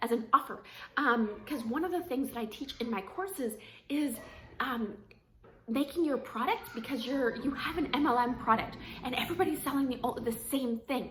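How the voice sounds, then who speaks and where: At a moderate pace, a woman with a high pitch speaks over noticeable background noise. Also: ordinary pitch variation. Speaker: network marketing coach. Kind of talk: casual talk-to-camera tips. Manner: filler-heavy, um and like.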